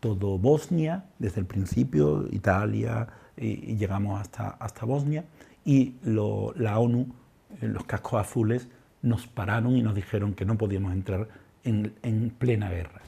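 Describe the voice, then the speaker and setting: Somewhat breathy and dark, mellow in tone, a man speaks at a fairly slow pace with a fairly low pitch and ordinary pitch variation, on a very clean recording with a silent background. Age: 60s. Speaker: psychologist and humanitarian volunteer. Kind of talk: testimony. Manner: halting, with repetitions.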